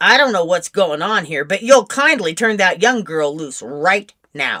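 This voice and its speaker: A woman growls in a put-on character voice at a medium pitch, her pitch swinging very widely. She talks at a moderate pace. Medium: read story. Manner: firm, commanding.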